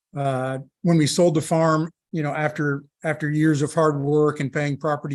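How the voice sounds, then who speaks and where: A man speaks with monotone, flat intonation. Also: quiet background. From Kansas. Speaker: farmer. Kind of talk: personal testimony at a roundtable. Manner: halting, many fillers and restarts.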